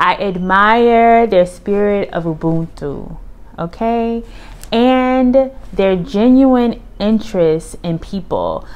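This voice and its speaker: A woman's very slow speech with ordinary pitch variation. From United States. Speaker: vlogger, Air Force retiree. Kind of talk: casual vlog monologue.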